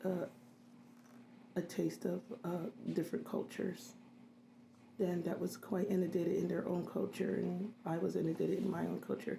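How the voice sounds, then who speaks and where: A woman speaks at a moderate pace with very even loudness, leaving long, frequent pauses. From Philadelphia, US. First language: Haitian Creole. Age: 50s. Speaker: registered nurse. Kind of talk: interview. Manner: hesitant, many fillers.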